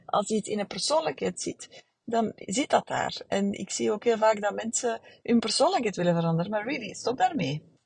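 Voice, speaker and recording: A woman's fairly high voice at a moderate pace, with very wide pitch swings and a dry, close sound with no echo. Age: 40s. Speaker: therapist. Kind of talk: solo podcast monologue. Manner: halting, many fillers.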